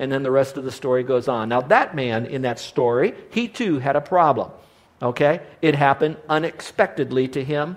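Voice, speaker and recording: Here is a man with an ordinary speaking voice. He uses ordinary pitch variation at a moderate pace. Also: fairly high pitch for a man. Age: 60s. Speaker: Bible teacher and preacher. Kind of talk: sermon. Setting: live audience.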